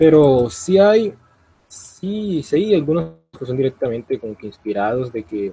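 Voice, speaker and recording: The man's voice carries a dark, mellow tone. It comes across as somewhat breathy. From Colombia. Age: young. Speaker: youtuber. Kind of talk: casual chat.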